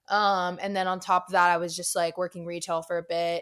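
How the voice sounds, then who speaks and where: The speaker has an American accent and a fairly quick pace. The recording is very clean, with a silent background. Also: woman. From Florida, Tampa. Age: 20s. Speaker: singer-songwriter. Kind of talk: casual chat. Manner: hesitant, many fillers.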